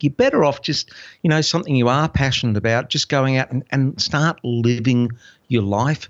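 A man speaks in an unremarkable speaking voice at medium pitch, with ordinary pitch variation and a moderate pace. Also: very even loudness. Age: 50s. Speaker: former army sniper and cameraman turned children's magician and online entrepreneur. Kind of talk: interview.

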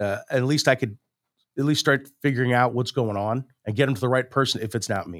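Fairly quick speech with ordinary pitch variation, in a Midwestern American accent. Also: man, medium pitch for a man. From St. Louis, Missouri. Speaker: orthopedic surgeon. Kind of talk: interview.

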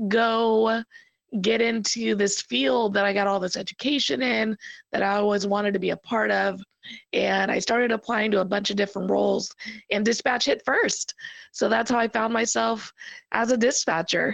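A woman speaks at a medium pitch with vocal fry, ordinary pitch variation and very even loudness. Her moderate pace comes through in a dry, close sound with no echo. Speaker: 911 police dispatcher, podcast guest. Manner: casual, conversational.

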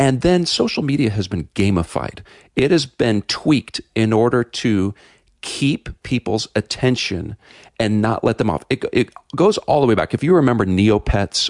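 A man with a plain, everyday voice, fairly low in pitch, with lively intonation. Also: dry, close sound with no echo. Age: 50s. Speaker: pastor, author and filmmaker. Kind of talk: radio interview.

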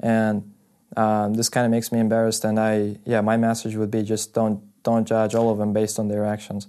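Over a quiet background, a man speaks fairly quickly at a fairly low pitch, his dark, mellow tone delivered in a monotone, flat intonation at a very even loudness. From Russia, Karachay-Cherkessia village. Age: 20s. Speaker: university student. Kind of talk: casual chat.

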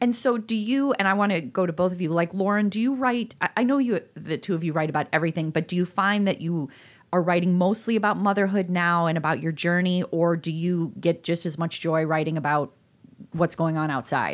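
A woman's normal speaking voice with an American accent, fairly low in pitch with ordinary variation, at a fairly quick pace, in a very clean recording with a silent background. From northern Illinois. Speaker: podcast co-host, parenting author. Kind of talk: casual chat.

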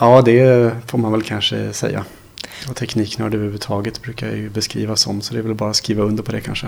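Background noise is noticeable as a man speaks very fast. His fairly low voice stays monotone and flat. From Sweden, Småland. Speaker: blind computer instructor. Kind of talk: interview. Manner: halting.

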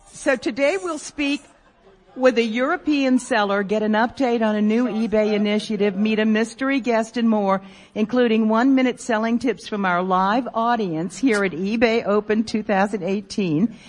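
At a moderate pace, a woman speaks in a fairly high, somewhat breathy voice with ordinary pitch variation. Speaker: radio host. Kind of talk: live radio show banter with audience. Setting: stage with live audience at convention. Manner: animated, jokey.

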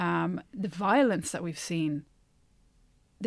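A woman's fairly low voice with an Irish accent, on a very clean recording with a silent background. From Ireland. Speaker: podcast co-host, Irish emigrant returned from US. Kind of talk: casual conversational discussion.

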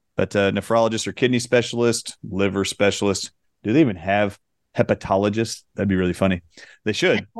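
Fairly low in pitch and fairly quick in pace, a man is heard in a dry, close sound with no echo against a quiet background. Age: 40s. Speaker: doctor, natural health co-host. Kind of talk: casual chat. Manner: animated.

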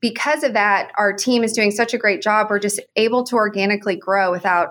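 Woman with an American accent, a normal speaking voice, medium pitch, fairly even intonation, and a moderate pace, on a very clean recording with a silent background. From Oklahoma. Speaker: consulting firm CEO. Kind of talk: interview.

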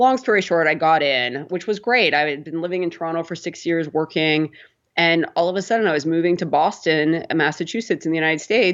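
A woman with a western Canadian accent talks at a very fast pace. Her pitch is fairly low, with ordinary variation. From Canada, Prince Albert, Saskatchewan. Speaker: tech company co-founder. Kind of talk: interview.

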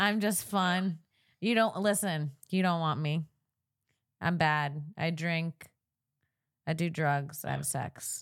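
A woman with an American accent, fairly low pitch and ordinary pitch variation, at a very slow pace with long, frequent pauses. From Florida. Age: 30s. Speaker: comedian podcast host. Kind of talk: casual chat. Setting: studio with video chat calls. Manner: animated.

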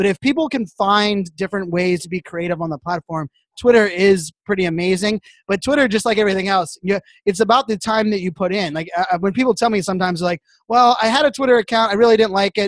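In a very clean recording with a silent background and a dry, close sound with no echo, a man talks at a very fast pace and a high pitch with ordinary pitch variation. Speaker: social media influencer and keynote speaker. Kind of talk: casual podcast interview. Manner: fast talker.

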